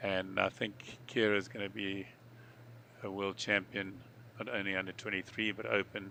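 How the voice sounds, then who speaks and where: A man's bright, sharp tone with vocal fry and fairly even intonation. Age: 60s. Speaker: surf ski paddler and commentator. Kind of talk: live sports commentary; casual chat. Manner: halting, repeats words.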